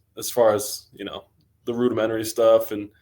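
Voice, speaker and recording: This man talks in an American accent, his intonation monotone and flat. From US Northwest, Coeur d'Alene, Idaho. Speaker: college football player, draft prospect. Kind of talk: podcast interview. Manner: casual, with many fillers and hesitations.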